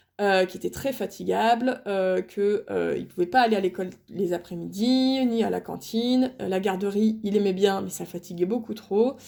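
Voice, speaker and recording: A woman with a dark, mellow tone and a medium pitch speaks at a moderate pace with ordinary pitch variation and hardly any pauses, on a very clean recording with a silent background. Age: 30s. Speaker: stay-at-home mom vlogger. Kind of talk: casual vlog talk to camera. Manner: halting, many fillers and repetitions.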